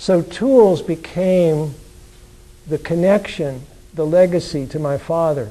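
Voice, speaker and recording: A man's fairly high voice at a very slow pace, with ordinary pitch variation and noticeable background noise. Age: 70s. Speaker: author. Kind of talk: lecture. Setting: lecture hall with audience. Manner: halting.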